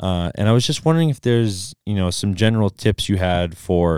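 With an American accent, the speaker goes at a fairly quick pace in a dark, mellow tone with ordinary pitch variation, the sound dry and close with no echo. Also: man. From US Midwest, southeast Wisconsin. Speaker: podcast host. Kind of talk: interview. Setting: video call.

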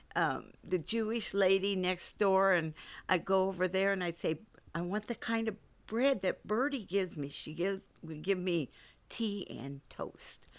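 A woman with an American accent has an unremarkable speaking voice, medium in pitch with ordinary variation. She speaks at a fairly slow pace on a very clean recording with a silent background. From US West Coast, San Francisco. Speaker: church member sharing life story. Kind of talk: casual interview.

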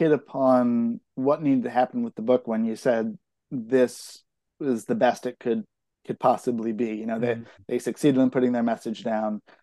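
At a moderate pace, a man with an American accent speaks at a medium pitch in a dark, mellow tone with ordinary pitch variation, the sound dry and close with no echo. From California, East Bay (Concord). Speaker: novelist. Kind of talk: interview.

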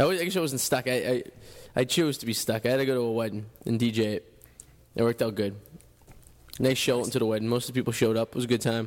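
A man with a Boston accent, medium in pitch, at a very fast pace with ordinary pitch variation and long, frequent pauses. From Revere, Massachusetts. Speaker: radio host. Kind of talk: casual chat. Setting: studio.

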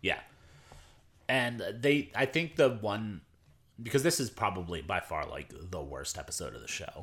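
On a very clean recording with a silent background, a man at medium pitch and moderate pace swings very widely in pitch, with vocal fry and long, frequent pauses. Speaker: podcast co-host. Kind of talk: casual chat.

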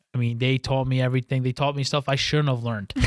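A man speaks at a medium pitch with a New York accent. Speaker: business owner. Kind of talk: interview.

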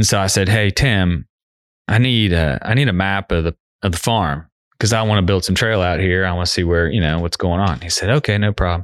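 Over a quiet background, a man with a very deep, low pitch and an American accent speaks at a fairly quick pace with ordinary pitch variation, in a dry, close sound with no echo. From Cincinnati, southern Ohio, US. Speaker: trail advocate and builder. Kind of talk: casual interview chat. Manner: animated storytelling.

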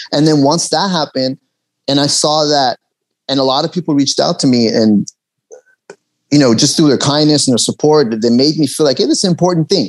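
A fairly high-pitched man with a Los Angeles accent, fairly quick yet with long, frequent pauses, ordinary pitch variation and very even loudness, in a dry, close sound with no echo. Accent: American, Los Angeles. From Los Angeles, US (from Tehran, Iran, moved at eight). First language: Persian. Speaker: actor and comedian. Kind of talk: casual interview.

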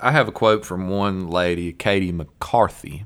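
On a very clean recording with a silent background, a man with a Southern US accent speaks at a fairly slow pace in a very deep, low pitch. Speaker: podcast host. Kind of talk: casual chat.

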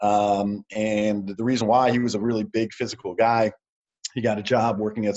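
A man with an ordinary speaking voice, medium pitch and fairly even intonation. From New York City. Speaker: motivational speaker and entrepreneur. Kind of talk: casual interview.

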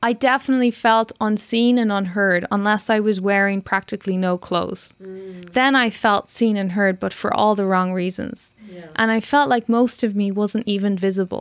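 A woman with an Irish accent speaks at a moderate pace and a medium pitch, her intonation fairly even and with hardly any pauses, on a very clean recording with a silent background. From Ireland (Cork). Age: 30s. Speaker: filmmaker. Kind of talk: interview.

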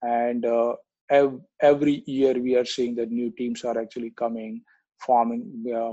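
A man speaks at a moderate pace and medium pitch. His tone is dark and mellow. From India. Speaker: cricket league president. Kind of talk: casual chat.

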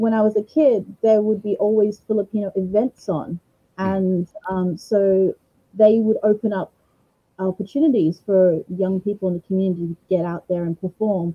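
A somewhat breathy woman at a moderate pace, with ordinary pitch variation. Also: medium pitch for a woman. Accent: Australian. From Australia, Brisbane, Queensland. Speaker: singer-songwriter. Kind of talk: interview.

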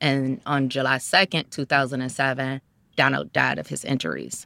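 With an American accent, a woman speaks at a moderate pace in a very deep, low voice with vocal fry and a bright, sharp tone, the sound dry and close with no echo on a very clean recording with a silent background. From US Midwest, Cleveland, Ohio. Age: 30s. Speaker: social worker and crime survivor advocate. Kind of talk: interview, personal testimony.

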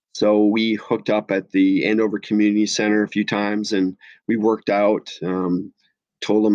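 A man speaks with an Upper Midwest accent. His intonation is monotone and flat. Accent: Upper Midwest American. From US Midwest (La Crosse, Wisconsin). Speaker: special education teacher. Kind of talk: interview. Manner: many filler words, hesitant.

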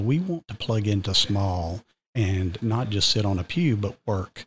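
Someone with a Southern US accent reads at a fairly slow pace, somewhat breathy and with ordinary pitch variation, in a dry, close sound with no echo on a very clean recording with a silent background. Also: man. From Georgia, US South. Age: 50s. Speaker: school district administrator. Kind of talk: casual interview chat. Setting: studio.

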